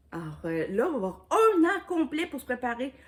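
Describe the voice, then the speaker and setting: Speaking very slowly with a Quebec accent, the voice swings very widely in pitch. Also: woman. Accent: Québécois French. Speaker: YouTuber, diamond painting crafter. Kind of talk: casual vlog chat. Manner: hesitant, many fillers.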